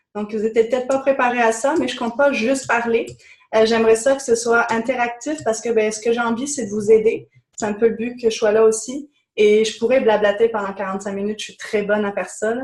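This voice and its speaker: Fairly high in pitch, a woman speaks at a fairly quick pace with fairly even intonation. Her loudness swings widely. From France. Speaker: business coach. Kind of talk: webinar presentation.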